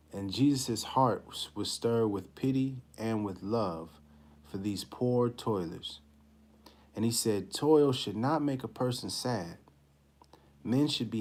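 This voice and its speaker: Soft-spoken and delivered at a very slow pace, the voice has ordinary pitch variation. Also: man, medium pitch for a man. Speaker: religious study class teacher. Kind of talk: live-stream class talk; scripture reading and class discussion. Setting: live stream.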